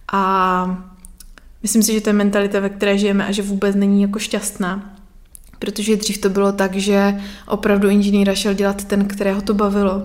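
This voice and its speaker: A woman speaks at a fairly quick pace with monotone, flat intonation and very even loudness, and audible room echo surrounds her voice. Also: medium pitch for a woman. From Moravia, Czech Republic (Nový Jičín). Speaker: artist and graphic designer. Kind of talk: casual interview chat. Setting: home living room.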